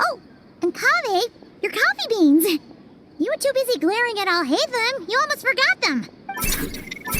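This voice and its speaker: A woman's cartoonish character voice, extremely high-pitched, with very wide pitch swings. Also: moderate pace. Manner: soft, hesitant.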